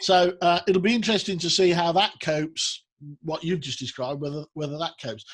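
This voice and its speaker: At a fairly quick pace, a man talks with a Birmingham accent. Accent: Brummie. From Birmingham, England. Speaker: business show host. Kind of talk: interview. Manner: halting.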